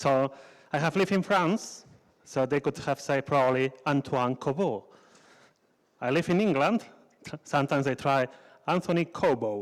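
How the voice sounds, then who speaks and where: On a very clean recording with a silent background, a man with a Spanish accent speaks fairly high for a man at a moderate pace. His loudness stays very even, his pitch varies in an ordinary way, and he leaves long, frequent pauses. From Spain. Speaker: conference speaker. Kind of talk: conference talk. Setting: stage with audience.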